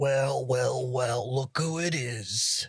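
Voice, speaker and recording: This man uses a put-on character voice that is raspy and sits at a medium pitch. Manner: whispering.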